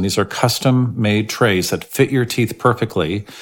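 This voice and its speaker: A man's unremarkable speaking voice, medium in pitch, at a fairly slow pace. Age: 60s. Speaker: dentist. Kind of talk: casual explanatory podcast talk.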